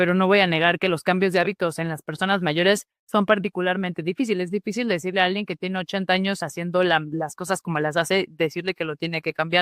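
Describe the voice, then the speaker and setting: The talk comes at a very fast pace with hardly any pauses, on a very clean recording with a silent background. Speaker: physician lecturer. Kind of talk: lecture.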